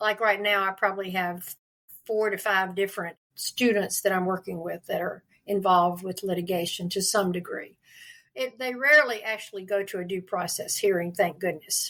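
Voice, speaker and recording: Delivered at a moderate pace in a Southern US accent, the voice has a bright, sharp tone and fairly even intonation. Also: woman, medium pitch for a woman. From US South, North Carolina (Durham). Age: 80s+. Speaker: literacy advocate. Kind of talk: interview.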